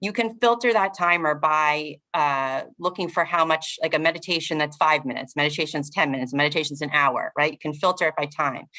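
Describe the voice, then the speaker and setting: A woman's bright, sharp tone at a fairly quick pace. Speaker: physical therapist and meditation teacher. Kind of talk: casual chat.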